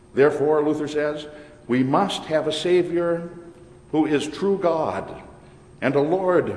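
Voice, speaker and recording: The speech comes at a very slow pace with ordinary pitch variation. Noticeable background noise and audible room echo are present. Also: man. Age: old. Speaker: pastor. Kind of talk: sermon.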